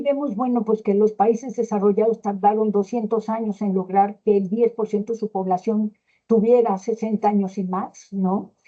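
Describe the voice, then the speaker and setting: With a Mexican accent, a woman speaks at a fairly slow pace with hardly any pauses. Her intonation stays fairly even. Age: 60s. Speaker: gerontology expert speaker. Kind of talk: lecture. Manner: hesitant, many fillers.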